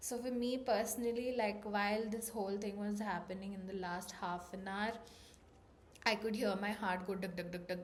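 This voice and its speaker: Over noticeable background noise and audible room echo, a woman talks at a moderate pace and medium pitch with fairly even intonation. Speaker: vlogger. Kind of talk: personal vlog talk.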